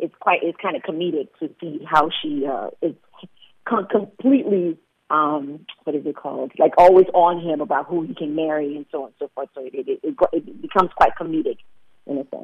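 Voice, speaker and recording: A man with a high pitch talks at a fairly quick pace, with ordinary pitch variation and big swings in loudness. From Liberia. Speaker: filmmaker. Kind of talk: interview.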